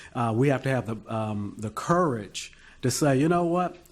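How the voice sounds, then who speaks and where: With an ordinary speaking voice, a man talks at a fairly slow pace, fairly high in pitch, his intonation lively. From US Midwest, Detroit. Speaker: panelist. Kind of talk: panel discussion.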